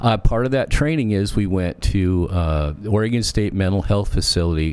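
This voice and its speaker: Against noticeable background noise, a man talks at a moderate pace. His fairly low voice carries lively intonation. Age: 60s. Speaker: social services worker. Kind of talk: casual chat.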